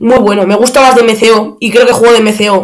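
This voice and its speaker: A man speaks with a high pitch. The room echo is audible. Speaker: football podcaster. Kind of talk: match analysis monologue. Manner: halting, many fillers.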